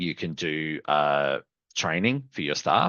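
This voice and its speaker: With an Australian accent, a man speaks in a very deep, low voice. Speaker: software company customer success manager presenting a webinar. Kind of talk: live product webinar demo. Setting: online webinar with screen share.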